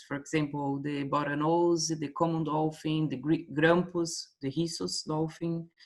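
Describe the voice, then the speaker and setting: Speaking at a fairly slow pace, a woman with a Portuguese accent has a very deep, low pitch and fairly even intonation. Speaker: workshop participant, marine biologist. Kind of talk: casual discussion. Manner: halting.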